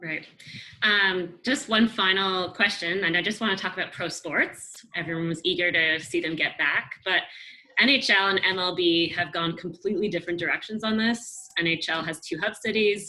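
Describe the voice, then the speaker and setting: Noticeable background noise behind a female speaker talking at a moderate pace. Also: medium pitch for a woman, ordinary pitch variation. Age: young. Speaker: journalist. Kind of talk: interview. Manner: casual, hesitant.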